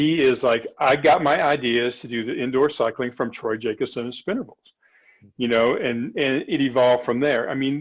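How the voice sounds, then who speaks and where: At a moderate pace, a man uses a normal speaking voice with fairly even intonation. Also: medium pitch for a man. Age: 60s. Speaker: cycling coach and exercise physiologist. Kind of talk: casual chat.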